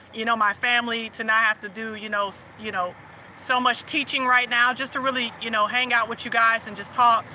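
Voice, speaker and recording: Over noticeable background noise, a woman talks fairly quickly in a fairly high pitch with monotone, flat intonation. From US South. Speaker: livestream host and faith/family coach. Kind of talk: casual livestream chat.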